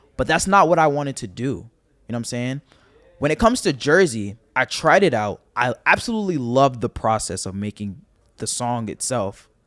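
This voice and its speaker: This man talks at a fairly quick clip in an animated way, with a medium pitch and a New York accent. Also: lively intonation, dry, close sound with no echo, very clean recording, silent background. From Staten Island, New York. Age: 20s. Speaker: rapper. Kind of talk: casual chat.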